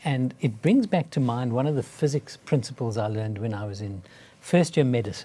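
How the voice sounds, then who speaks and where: With a dark, mellow tone and a somewhat breathy quality, a man at medium pitch speaks with lively intonation. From South Africa. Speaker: cardiologist. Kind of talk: interview. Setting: studio.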